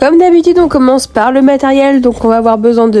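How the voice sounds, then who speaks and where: A woman's high-pitched voice, with ordinary pitch variation, sits over noticeable background noise. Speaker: polymer clay crafter. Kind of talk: tutorial voice-over.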